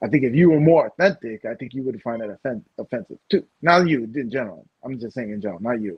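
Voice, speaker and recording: Delivered at a very fast pace with hardly any pauses, the speech has lively intonation and big swings in loudness. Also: man, medium pitch for a man. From Puerto Rican American. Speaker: podcast co-host. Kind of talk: casual chat. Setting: live stream.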